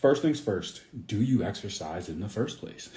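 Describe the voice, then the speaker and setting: Amid audible room echo, a man with a dark, mellow tone and fairly low pitch talks at a fairly quick pace, sounding somewhat breathy. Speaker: fitness coach. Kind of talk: live stream Q&A. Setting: Instagram live stream.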